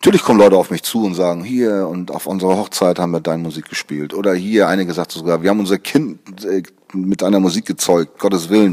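A man's very deep, low pitch with a dark, mellow tone, fairly even intonation and a very fast pace. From Hamburg, northern Germany. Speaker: music producer and composer. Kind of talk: interview. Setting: studio.

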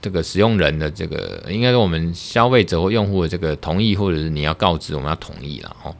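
With a Taiwanese accent, a man speaks at a fairly quick pace with hardly any pauses, his very deep, low voice showing ordinary pitch variation. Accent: Taiwanese Mandarin. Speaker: lawyer and podcast host. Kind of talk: solo podcast monologue on law. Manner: casual, hesitant with fillers.

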